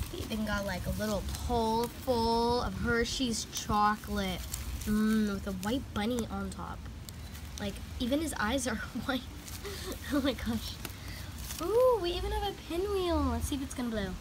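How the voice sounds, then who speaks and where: A woman speaks over noticeable background noise. She leaves long, frequent pauses. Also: moderate pace. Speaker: toy reviewer. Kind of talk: casual vlog chat. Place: street. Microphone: phone near.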